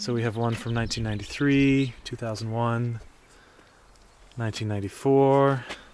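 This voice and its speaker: With an American accent, a man speaks at a medium pitch in a monotone, flat intonation, leaving long, frequent pauses amid audible room echo. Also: moderate pace. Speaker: travel vlogger. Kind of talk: travel vlog narration. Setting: inside a church.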